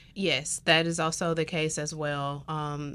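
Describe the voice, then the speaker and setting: In a very clean recording with a silent background, a woman with an American accent speaks in a very deep, low pitch with monotone, flat intonation. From US South, Alabama. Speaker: neuroscience professor and researcher. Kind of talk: interview.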